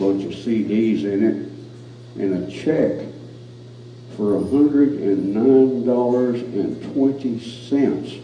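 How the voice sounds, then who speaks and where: Noticeable background noise and audible room echo surround a man's voice. He speaks fairly slowly with lively intonation. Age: 70s. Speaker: cowboy poet. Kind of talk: casual chat. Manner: halting.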